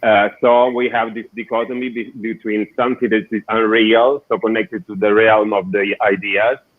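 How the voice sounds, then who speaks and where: With an Italian accent and a medium pitch, a man talks at a moderate pace with fairly even intonation and hardly any pauses. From southern Italy. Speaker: architect and designer. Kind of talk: interview.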